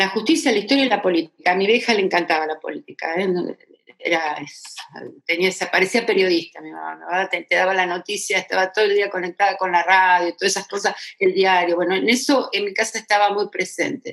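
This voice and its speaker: Ordinary pitch variation and a fairly quick pace in an unremarkable speaking voice. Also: woman, medium pitch for a woman. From Argentina, Buenos Aires area. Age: 60s. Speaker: retired federal judge. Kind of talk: interview testimony.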